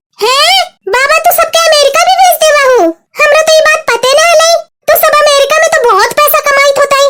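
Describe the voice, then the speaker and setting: Using a cartoonish character voice, a woman talks at a fairly quick pace with an extremely high pitch, very wide pitch swings and very even loudness. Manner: rustic, pleading.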